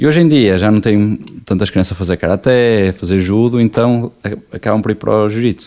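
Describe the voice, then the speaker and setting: A man speaks fairly quickly with a dark, mellow tone. His pitch is fairly low, with ordinary variation. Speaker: jiu-jitsu athlete and coach. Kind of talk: podcast interview.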